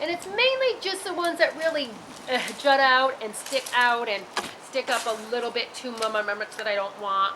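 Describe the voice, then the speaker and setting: A woman speaks loudly at a high pitch. Noticeable background noise runs behind her. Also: lively intonation, moderate pace. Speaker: gardening video host. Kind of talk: tutorial. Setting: outdoors in garden, on a roof. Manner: halting, frequent stutters and repeats.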